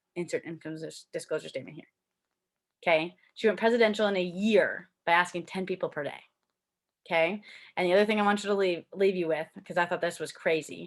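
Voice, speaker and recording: Speaking at a fairly quick pace in a medium pitch, a woman uses an animated tone with big swings in loudness on a very clean recording with a silent background. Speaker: network marketer. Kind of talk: live video talk to team. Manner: fast.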